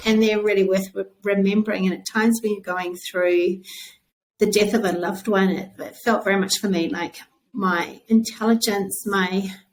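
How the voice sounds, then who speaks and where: In a New Zealand accent, a woman speaks at a medium pitch. Her intonation is monotone and flat, her pace moderate. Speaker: author. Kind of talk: interview.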